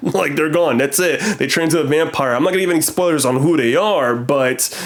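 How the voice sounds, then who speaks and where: The words pour out at a very fast pace, with ordinary pitch variation, while noticeable noise sounds in the background. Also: man. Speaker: film reviewer. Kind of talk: movie review. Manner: casual.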